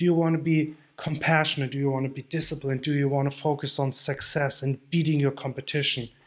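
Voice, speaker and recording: A man speaks with hardly any pauses. His intonation is monotone and flat. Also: fairly high pitch for a man. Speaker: online nutrition coach. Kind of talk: tutorial. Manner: slow.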